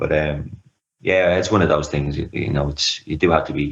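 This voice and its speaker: A man with an Irish accent at a fairly quick pace. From Ireland, Dublin. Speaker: anxiety recovery coach. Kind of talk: interview, personal story.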